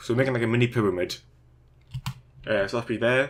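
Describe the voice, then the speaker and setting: This man talks at a very fast pace with a British accent. His pitch is medium for a man and his intonation fairly even. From Britain. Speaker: Minecraft YouTuber. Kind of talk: tutorial. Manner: casual, filler words.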